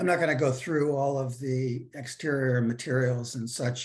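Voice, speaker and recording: A man at medium pitch, somewhat breathy, with ordinary pitch variation and a fairly slow pace. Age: 60s. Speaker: housing developer. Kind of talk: project presentation.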